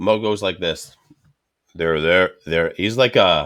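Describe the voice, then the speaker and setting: Very slow and very deep, a man's low voice moves with ordinary pitch variation. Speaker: cigar show host. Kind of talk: casual chat.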